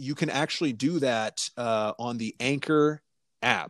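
In a very clean recording with a silent background, a man talks at medium pitch with ordinary pitch variation. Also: dry, close sound with no echo. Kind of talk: casual banter with podcast sign-off. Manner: laid-back, laughing along.

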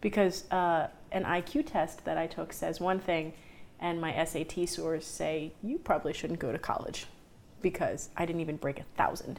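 Using vocal fry, a woman with a fairly low pitch speaks at a moderate pace with fairly even intonation. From Puerto Rican heritage. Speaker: bank branch employee. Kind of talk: casual chat.

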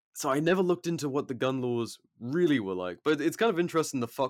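In a very clean recording with a silent background, a man with an American accent speaks at a very fast pace and with lively intonation. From rural England. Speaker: podcast co-host, illustrator and shooter. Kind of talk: casual chat.

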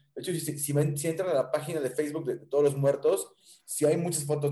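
A fairly high-pitched man at a fairly quick pace. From Mexico, Tampico. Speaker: rock musician. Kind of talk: interview. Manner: animated.

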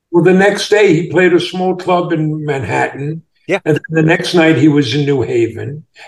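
With an ordinary speaking voice, a man talks at a moderate pace with hardly any pauses, his fairly high pitch showing ordinary variation. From US Northeast, Long Island. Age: 60s. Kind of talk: interview. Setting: video call.

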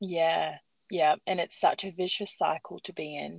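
A woman talks at a fairly slow pace in a dry, close sound with no echo. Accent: Australian. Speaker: podcast host. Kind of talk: casual interview; scripted intro.

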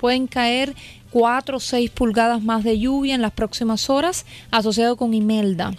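High-pitched female voice at a moderate pace, with fairly even intonation. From Cuba. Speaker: meteorologist. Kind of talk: weather report.

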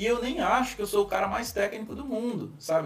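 A man speaks fairly quickly in a room with audible echo, with noticeable noise in the background. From Brazil, Foz do Iguaçu, Paraná. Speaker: business manager and speaker. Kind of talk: casual interview chat.

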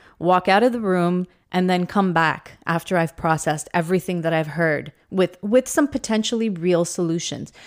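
An unremarkable speaking voice from a woman, fairly low in pitch with ordinary pitch variation, at a moderate pace. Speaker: teacher podcast co-host. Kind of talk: casual chat. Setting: studio.

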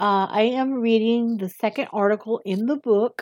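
This woman talks with a Southern US accent at a medium pitch. The sound is dry and close, with no echo. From US South. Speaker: amateur reader. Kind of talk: reading aloud. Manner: hesitant, many fillers.

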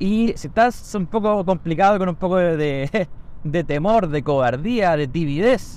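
A man with a Chilean accent and lively intonation. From Chile, Santiago (Conchalí). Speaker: podcaster and barbershop owner. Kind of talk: casual monologue. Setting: in a car.

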